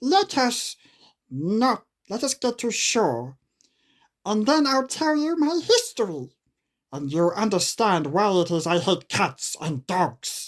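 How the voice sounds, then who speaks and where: A female-sounding put-on character voice speaks at a fairly slow pace with medium pitch and very wide pitch swings. The recording is very clean with a silent background. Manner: passionate, agitated.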